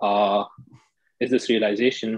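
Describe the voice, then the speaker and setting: The speaker is a man with a medium pitch. He keeps a moderate pace in a monotone, flat intonation. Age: 30s. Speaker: data professional, audience participant. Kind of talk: casual chat. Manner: hesitant, many fillers.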